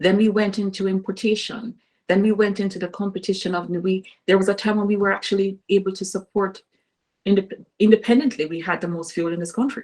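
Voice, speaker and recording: Speech at a very fast pace comes in a Caribbean accent with fairly even intonation. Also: woman, medium pitch for a woman. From Caribbean island. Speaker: political candidate. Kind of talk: interview. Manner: halting.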